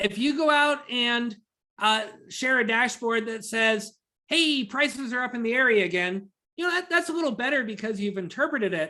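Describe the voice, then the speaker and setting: Bright and sharp in tone, a woman's high-pitched voice moves with lively intonation. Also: moderate pace. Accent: American. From Virginia, US. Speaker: data analytics trainer presenting to realtors. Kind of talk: webinar presentation. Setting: video call webinar with screen sharing.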